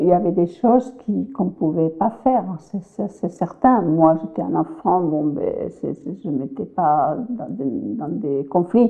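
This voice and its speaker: With a Spanish accent, a woman speaks very slowly at a fairly low pitch, her pitch swinging very widely. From Spain, Valencia region (Cullera). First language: Spanish (speaking French). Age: 70s. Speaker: immigrant grandmother interviewee. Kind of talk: interview testimony. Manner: halting, repeating words.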